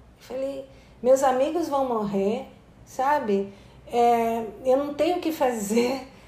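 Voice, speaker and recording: A woman speaks very slowly amid audible room echo. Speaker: anthropologist and author. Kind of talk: interview.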